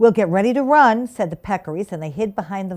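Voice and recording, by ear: This is reading aloud in a natural voice. Nothing else is noted.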